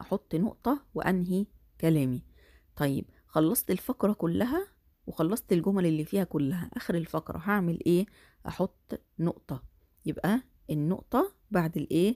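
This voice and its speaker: In an Egyptian accent, a woman speaks fairly slowly with a fairly low pitch, a dark, mellow tone and lively intonation, her loudness very even and the sound dry and close with no echo. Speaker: primary school Arabic teacher. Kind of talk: lecture.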